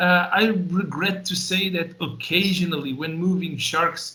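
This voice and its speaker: A man's voice with audible room echo. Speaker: live fish transport specialist. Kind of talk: webinar presentation. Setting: webinar. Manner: fast.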